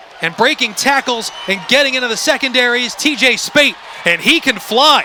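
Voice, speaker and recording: Extremely high pitch for a man, a moderate pace, and noticeable background noise behind him. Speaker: play-by-play sports broadcaster. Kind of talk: live sports play-by-play commentary.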